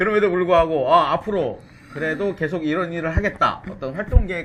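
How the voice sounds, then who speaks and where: A man speaks at a fairly quick pace with a fairly high pitch. Noticeable background noise runs underneath. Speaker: talk show host. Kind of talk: interview. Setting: studio with camera and pin mic.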